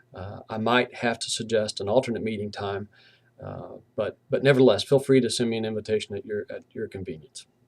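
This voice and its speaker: Delivered at a fairly quick pace, the speech has fairly even intonation and a slight Southern US accent. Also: man. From US South, southwestern Virginia (Abingdon). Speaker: university professor. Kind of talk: lecture. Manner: casual, with fillers.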